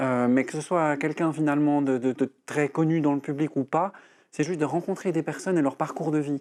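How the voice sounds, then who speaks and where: A quiet background surrounds speech delivered at a moderate speed. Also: man. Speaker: breathing and voice coach. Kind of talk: TV interview.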